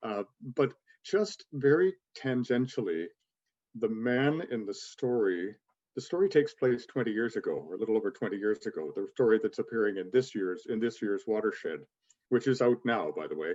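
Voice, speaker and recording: A man's voice at medium pitch carries lively intonation. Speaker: author and magazine editor. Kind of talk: podcast interview. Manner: quick.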